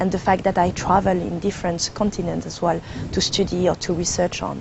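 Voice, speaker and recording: Through noticeable background noise, a woman with a French accent speaks at a fairly low pitch and a fairly quick pace in a monotone, flat intonation. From France, Cambodian parents. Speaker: climate change consultant and professor. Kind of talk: TV interview. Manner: hesitant, with fillers.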